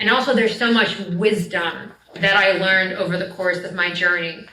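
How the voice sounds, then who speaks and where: In an American accent, a woman with a medium pitch talks at a moderate pace with fairly even intonation, with audible room echo and noticeable background noise. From New Jersey, US. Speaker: storyteller and spiritual teacher. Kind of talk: lecture. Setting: live event with audience. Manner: casual, filler-heavy.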